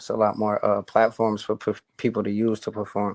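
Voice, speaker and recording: A man at medium pitch and a fairly quick pace, with a dry, close sound and no echo. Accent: American. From Buffalo, New York (east side). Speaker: rapper. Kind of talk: interview.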